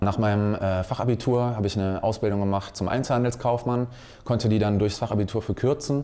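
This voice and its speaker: A man's dark, mellow tone with fairly low pitch, fairly even intonation and a moderate pace. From Wuppertal, western Germany; Germany. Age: 20s. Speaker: salesman for security systems. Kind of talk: career talk to young people. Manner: frequent filler hesitations. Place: studio.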